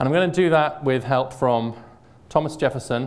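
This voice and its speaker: Recorded with audible room echo, a man with an American accent speaks at a moderate pace with ordinary pitch variation. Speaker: think-tank scholar, lecturer. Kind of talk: public lecture. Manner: conversational with many fillers.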